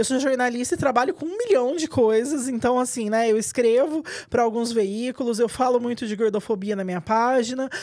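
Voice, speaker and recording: A woman's high voice at a fairly quick pace with hardly any pauses and ordinary pitch variation. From Minas Gerais, Brazil (south). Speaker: journalist and writer. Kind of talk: interview. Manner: loud; fast.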